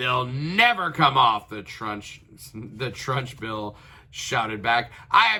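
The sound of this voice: The voice heard here is an unforced reading voice.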